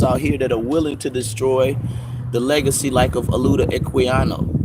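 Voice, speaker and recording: Amid noticeable background noise and audible room echo, the speaker moves at a fairly quick pace. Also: man. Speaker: livestream host answering viewer questions. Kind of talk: live Q and A stream. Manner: loud; animated.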